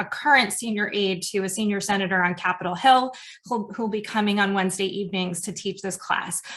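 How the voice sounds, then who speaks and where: This woman has an American accent and a bright, sharp tone. Her intonation stays monotone and flat. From New York City. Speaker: professor and program director. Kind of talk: information webinar presentation. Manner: fast.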